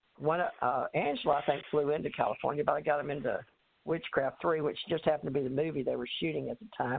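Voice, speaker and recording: In a Southern US accent, a woman speaks very fast at a very deep, low pitch with ordinary pitch variation. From Texas. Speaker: author and life coach. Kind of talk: interview.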